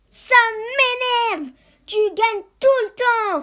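An extremely high-pitched, cartoonish character voice speaks at a fairly slow pace. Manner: irritated.

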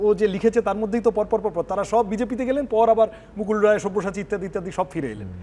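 The speaker is a man with a high pitch. His intonation stays fairly even. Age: young. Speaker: politician, election candidate. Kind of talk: televised political debate. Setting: studio. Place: studio. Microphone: lapel.

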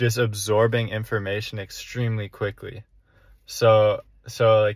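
A man at a very slow pace, dry sound with no echo, quiet background. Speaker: young entrepreneur vlogger. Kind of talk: casual vlog chat. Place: car. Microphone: phone near.

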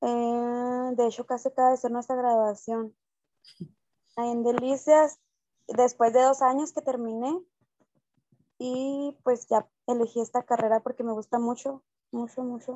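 Her pitch is high and her intonation monotone and flat as the woman speaks at a fairly slow pace with long, frequent pauses. The sound is dry with no echo, over a quiet background. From La Cruz, Chihuahua, Mexico; Chihuahua, Mexico. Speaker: student, childcare worker. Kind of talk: class introduction. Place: home room. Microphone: video call.

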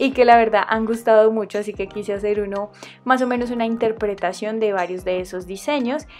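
With music in the background, a woman with a Colombian accent speaks at a fairly quick pace and a fairly high pitch, with fairly even intonation. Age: 20s. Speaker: nail art youtuber. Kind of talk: casual tutorial voice-over.

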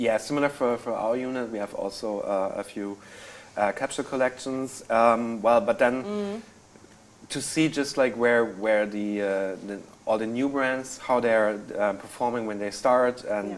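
A man speaks with a German accent. His pace is moderate and his pitch varies in an ordinary way. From Germany. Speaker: senior merchandise planner; panelist. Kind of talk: live webinar interview. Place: studio. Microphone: lapel.

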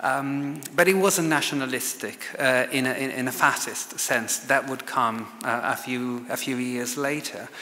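A man with an Italian accent at a fairly slow pace, fairly even intonation and hardly any pauses. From Italy, Lombardy. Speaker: fashion historian and author. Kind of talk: lecture. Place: hall. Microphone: podium.

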